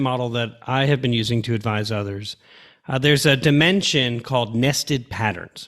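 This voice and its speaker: In a Long Island accent, a man talks at a fairly quick pace with lively intonation, and the recording is very clean with a silent background. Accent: Long Island, New York. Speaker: podcast host, former school superintendent. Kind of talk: interview question.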